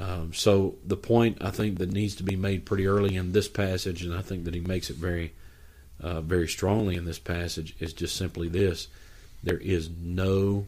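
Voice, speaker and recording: A man with a very deep, low pitch speaks in a monotone, flat way, somewhat breathy and at a moderate pace. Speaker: pastor. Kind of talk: Bible study discussion, reading scripture.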